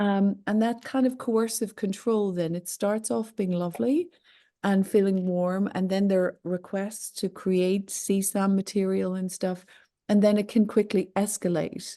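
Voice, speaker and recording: A woman at a medium pitch, with a dark, mellow tone, fairly even intonation and a fairly slow pace, against a quiet background. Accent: Irish. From Ireland. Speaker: online safety expert, company founder. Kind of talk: interview.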